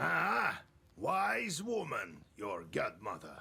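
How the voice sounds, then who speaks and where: A raspy, put-on character voice moves at a very slow pace. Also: man. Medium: video game. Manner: calm, authoritative.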